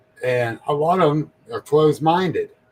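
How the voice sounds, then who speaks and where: A somewhat breathy man at a fairly slow pace, dry and close with no echo. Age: 60s. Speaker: paranormal podcast host. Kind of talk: casual interview chat.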